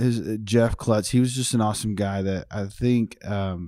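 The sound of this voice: A man speaks with a slight Texas accent at a fairly low pitch in a dark, mellow tone. The very clean recording has a silent background, and his pitch varies in an ordinary way. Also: moderate pace. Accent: American, slight Texas twang.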